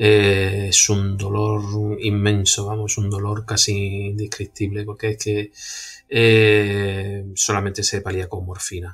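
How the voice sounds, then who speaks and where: In a monotone, flat intonation, a man speaks very slowly in a fairly low, somewhat breathy voice. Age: 40s. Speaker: patient with a genetic blood disease. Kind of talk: personal testimony.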